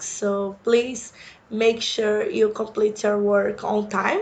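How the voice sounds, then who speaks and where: Speaking very slowly with a Brazilian accent, a woman has a fairly high pitch and monotone, flat intonation. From Brazil, Sao Paulo. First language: Portuguese. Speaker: university instructor. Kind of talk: course introduction lecture.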